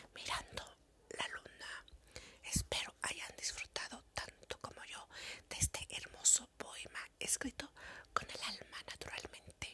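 A woman whispering at a very slow pace, with long, frequent pauses and big swings in loudness. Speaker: poet and podcast host. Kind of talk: spoken word poetry, sensual ASMR-style reading aloud. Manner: slow, soft, intimate and sensual delivery.

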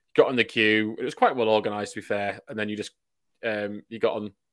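In a Yorkshire accent, a man delivers his words at a very fast pace and medium pitch, in a very clean recording with a silent background. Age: 20s. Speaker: rugby league fan podcast co-host. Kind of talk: casual chat.

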